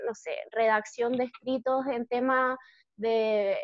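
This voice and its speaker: A woman with a Chilean accent and fairly even intonation. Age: 20s. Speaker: lawyer. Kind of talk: interview.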